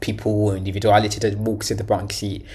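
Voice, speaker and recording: Audible room echo surrounds a man speaking fairly quickly at a fairly low pitch. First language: Portuguese. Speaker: language learning youtuber. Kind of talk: reaction video commentary. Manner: halting, many fillers and repetitions.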